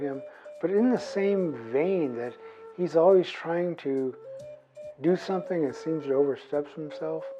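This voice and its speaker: Music plays in the background as the speaker, in an American accent, talks at a fairly slow pace in a relaxed tone. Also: man. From US Pacific Northwest, Nez Perce. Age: 60s. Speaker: artist and former park ranger. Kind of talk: interview testimony. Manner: relaxed, with frequent fillers.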